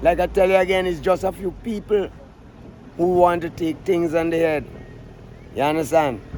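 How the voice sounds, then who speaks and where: With noticeable background noise, a man with a Vincentian accent speaks at a moderate pace in a high pitch, keeping his intonation fairly even and taking long, frequent pauses. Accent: Vincentian Creole English. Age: 60s. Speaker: calypso singer. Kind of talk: interview. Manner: outspoken, emphatic.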